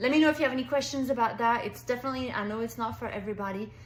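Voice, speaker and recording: A woman speaks in a French accent with ordinary pitch variation. Noticeable background noise and audible room echo fill the recording. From France. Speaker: direct sales consultant. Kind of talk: sales pitch. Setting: pre-recorded video for online party. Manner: animated.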